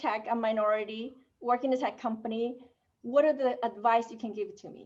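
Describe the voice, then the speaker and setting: A woman speaks with a non-native accent. Her pitch is high and her intonation fairly even. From Asia. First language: not English. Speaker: technology executive. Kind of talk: panel discussion.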